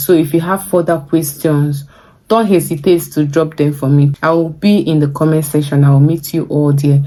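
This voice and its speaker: A woman with a Nigerian accent, a very deep, low pitch, ordinary pitch variation and a moderate pace. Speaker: vlogger. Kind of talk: vlog advice talk.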